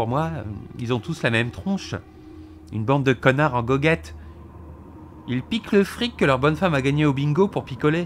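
Long pauses break up the delivery frequently. Otherwise the tempo stays moderate. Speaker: character voiced by the narrator. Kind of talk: reading dialogue of a gruff character. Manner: aggressive, gruff, coarse.

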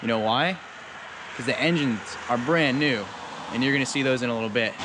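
A man speaks at a moderate pace, the sound dry with no echo and noticeable background noise behind him. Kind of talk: casual vlog walkthrough. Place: open country. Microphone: phone near.

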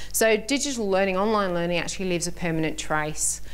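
At a moderate pace, a woman with a British accent speaks with ordinary pitch variation. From Britain. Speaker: vocational lecturer. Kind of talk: conference workshop presentation. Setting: stage with audience. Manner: animated. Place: hall. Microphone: podium.

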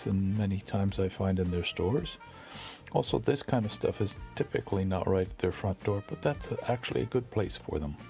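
Faint music plays in the background. Over it, a man talks at a fairly quick pace. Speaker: thrift store tour vlogger. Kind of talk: casual tour commentary. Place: shop. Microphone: phone near.

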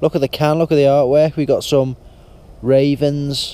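This man talks at a moderate pace with fairly even intonation. The sound is dry, with no echo. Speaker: outdoor vlogger. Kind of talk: casual vlog chat. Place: forest. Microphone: phone near.

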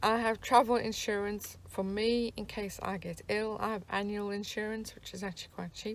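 The sound is dry, with no echo. A woman talks at a moderate pace. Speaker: van traveller vlogger. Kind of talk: casual vlog chat. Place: car. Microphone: phone near.

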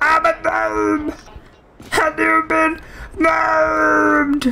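Very slowly, someone performs in a put-on character voice. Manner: playful.

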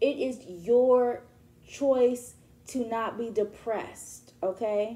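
Speaking at a very slow pace, a woman with a dark, mellow tone keeps her intonation fairly even. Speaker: spiritual reader. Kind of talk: tarot reading monologue. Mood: warm, encouraging. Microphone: phone near.

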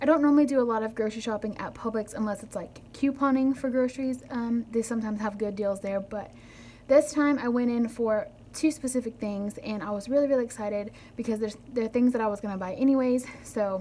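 A woman's very fast speech with fairly even intonation over light background noise. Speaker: haul vlogger. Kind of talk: casual vlog chat. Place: kitchen. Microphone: phone near.

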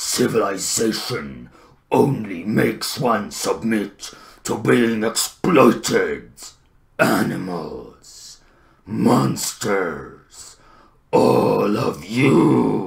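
Putting on a character voice, a man speaks very slowly in a fairly low, raspy pitch. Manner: slow, menacing.

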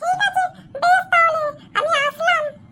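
A woman's cartoonish character voice, extremely high-pitched, with very wide pitch swings. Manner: gentle, friendly.

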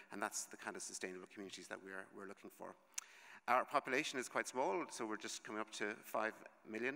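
In an Irish accent, a man talks very fast with a bright, sharp tone, ordinary pitch variation and big swings in loudness, over a quiet background. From Ireland. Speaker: conference speaker. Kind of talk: conference presentation. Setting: conference stage with audience. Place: hall. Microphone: podium.

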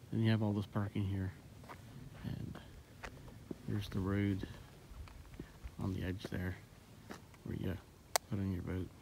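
The speaker keeps a moderate pace with long, frequent pauses and a monotone, flat intonation. Noticeable background noise runs underneath. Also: man, very deep, low pitch for a man. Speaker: local vlogger. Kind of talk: casual vlog chat. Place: waterside. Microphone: phone near.

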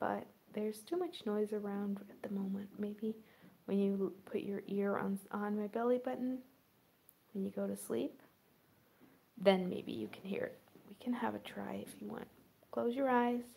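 Soft-spoken and soothing in tone, a woman talks at a moderate pace. Her loudness swings widely, and she takes long, frequent pauses. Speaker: role-play vlogger. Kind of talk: soft role-play chat to viewer. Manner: soft, soothing bedtime ASMR voice. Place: home room. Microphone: phone near.

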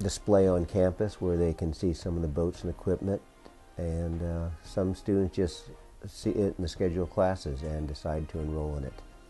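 A man speaks at a moderate pace with a very deep, low pitch and fairly even intonation while faint music plays in the background. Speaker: sailing class instructor. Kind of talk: interview answer. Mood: relaxed, friendly. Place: office. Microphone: lapel.

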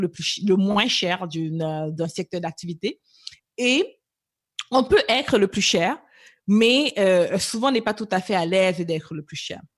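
A woman with an unremarkable speaking voice talks at a fairly slow pace, her medium pitch moving with lively intonation. The background is quiet. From Cameroon, moved to Canada at 11. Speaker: business coach. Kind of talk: interview.

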